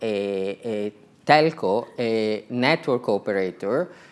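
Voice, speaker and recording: Speaking very slowly, a man uses a medium pitch and an Italian accent. The recording is very clean, with a silent background. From Italy. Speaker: telecom executive. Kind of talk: conference talk.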